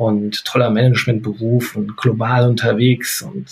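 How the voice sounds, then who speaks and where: A man speaks in a somewhat breathy voice. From North Rhine-Westphalia, Germany. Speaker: etiquette academy head and business etiquette trainer. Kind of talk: casual interview chat.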